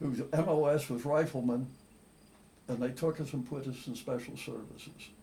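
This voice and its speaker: This man speaks with an American accent at a moderate pace, his pitch fairly high with ordinary variation. His tone is dark and mellow, and somewhat breathy. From Philadelphia, Pennsylvania. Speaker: war veteran. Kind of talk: interview answer.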